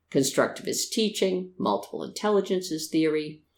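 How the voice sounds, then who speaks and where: Moderate pace with an American accent on a very clean recording, background silent. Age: 60s. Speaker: podcast host, retired teacher. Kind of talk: scripted podcast monologue.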